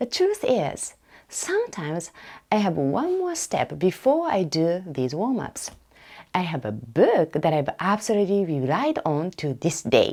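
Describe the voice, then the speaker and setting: Speaking with a non-native accent, a woman with a medium pitch and a dark, mellow tone talks fairly slowly, her pitch swinging very widely. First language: Japanese. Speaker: academic researcher and podcaster. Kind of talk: casual podcast monologue.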